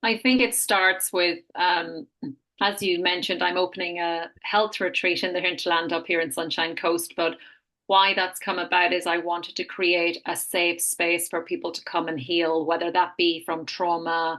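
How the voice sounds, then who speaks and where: Speaking with an Irish accent, a woman has a fairly low pitch and a bright, sharp tone. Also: fairly even intonation, moderate pace. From Ireland. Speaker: health retreat founder. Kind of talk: podcast interview, personal testimony.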